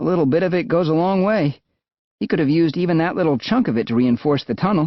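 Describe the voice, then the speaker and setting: A man puts on a character voice with a high pitch, talking very fast at very even loudness. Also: lively intonation. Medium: read story. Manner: light, wry.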